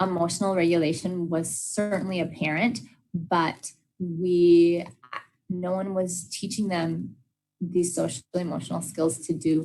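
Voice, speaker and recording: There is audible room echo around a woman speaking at a fairly low pitch. She goes fairly slowly, with ordinary pitch variation. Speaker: special education trainer. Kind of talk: professional development lecture. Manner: frequent fillers (uh, um).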